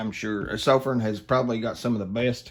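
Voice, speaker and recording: At a fairly quick pace, a man with an Appalachian accent talks at medium pitch. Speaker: flashlight reviewer. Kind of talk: product review. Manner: casual, hesitant with many fillers.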